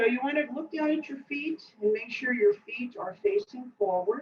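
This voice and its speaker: This woman speaks with a New Jersey accent. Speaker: tai chi and qigong instructor. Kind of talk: guided exercise class. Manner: casual, with many fillers.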